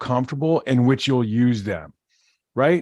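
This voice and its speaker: Against a silent background in a very clean recording, a man with an ordinary speaking voice talks at a moderate pace with ordinary pitch variation. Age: 50s. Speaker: podcast host. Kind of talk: casual chat.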